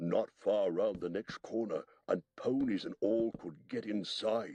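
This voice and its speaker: At a fairly slow pace, a man uses a put-on character voice at a medium pitch. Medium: read story.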